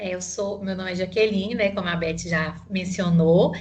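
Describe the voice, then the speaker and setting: With a Minas Gerais accent, a woman speaks in a somewhat breathy voice. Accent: Minas Gerais accent, noticeable. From Minas Gerais interior (Mutum), Brazil. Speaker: psychologist and HR consultant. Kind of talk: interview. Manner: halting, many fillers.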